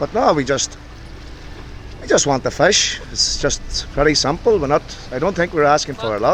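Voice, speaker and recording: A man with an Irish accent speaks at a fairly high pitch. Noticeable background noise sits behind him. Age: 30s. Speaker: fisherman. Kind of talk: interview.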